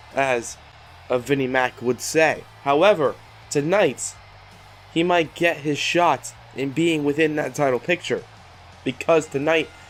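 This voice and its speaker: A man speaking at a fairly slow pace, ordinary pitch variation, music playing behind him. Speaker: gaming YouTuber. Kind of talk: gameplay commentary. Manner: casual, halting.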